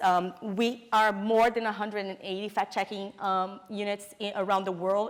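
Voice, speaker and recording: This woman talks in a Brazilian Portuguese accent with fairly even intonation. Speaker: fact-checking network director. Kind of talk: conference presentation. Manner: halting, many fillers.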